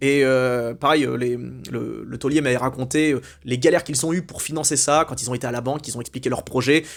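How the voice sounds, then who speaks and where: A man with an animated tone, talking at a very fast pace. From France. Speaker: YouTube commentator. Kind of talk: opinion monologue. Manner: animated, hesitant with repetitions.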